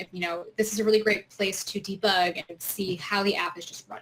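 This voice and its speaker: The speaker is a woman. Her pitch sits in the medium range. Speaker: software trainer. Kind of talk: tutorial. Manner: fast.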